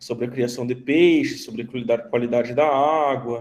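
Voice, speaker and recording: A man's medium-pitched voice in a southern Brazilian accent. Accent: southern Brazilian (gaúcho). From southern Brazil, Rio Grande do Sul. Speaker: teacher, veterinarian. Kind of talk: online class lecture. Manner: conversational, many fillers.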